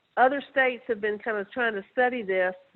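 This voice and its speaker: A woman with a Southern US accent speaks at a fairly high pitch with ordinary pitch variation. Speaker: researcher. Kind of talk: webinar presentation. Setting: webinar.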